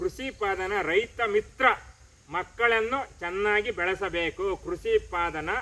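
A man's raised, projected voice, high in pitch and bright and sharp in tone, with ordinary pitch variation. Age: 50s. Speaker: farmer. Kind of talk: field interview.

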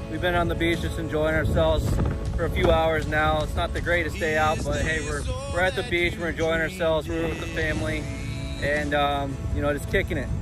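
A man talks at a fairly quick pace. Clear music plays behind him, and the sound is dry with no echo. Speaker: family vlogger. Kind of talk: casual vlog chat. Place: beach. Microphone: phone near.

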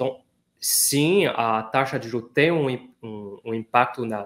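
With a non-native accent, a man talks using ordinary pitch variation. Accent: foreign accent in Portuguese. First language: not Portuguese (speaking Portuguese). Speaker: economist; guest. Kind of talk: interview. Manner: hesitant, many fillers. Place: office.

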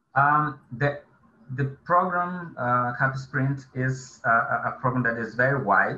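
With audible room echo and light background noise, a man of medium pitch speaks at a fairly slow pace in a bright, sharp tone with ordinary pitch variation. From Brazil. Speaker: government agency coordinator; webinar panelist. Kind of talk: webinar presentation.

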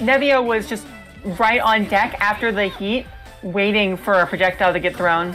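A woman's medium-pitched voice with ordinary pitch variation at a moderate pace, music in the background. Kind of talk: esports match commentary.

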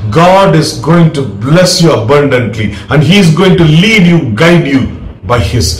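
A man talks at a fairly slow pace. Room echo is audible around him. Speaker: preacher. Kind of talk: sermon.

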